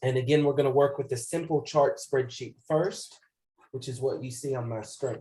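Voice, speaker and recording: A man speaks at a moderate pace with a fairly high pitch and fairly even intonation. His voice is somewhat breathy, with a dark, mellow tone. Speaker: computer skills instructor. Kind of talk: tutorial. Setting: video call. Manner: casual, with frequent fillers.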